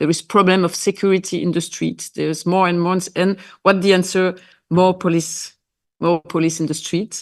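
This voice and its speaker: A woman's fairly low voice with a non-native accent, flat and monotone, at a moderate pace against a quiet background. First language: Dutch or French. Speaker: member of parliament. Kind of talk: panel discussion. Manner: halting.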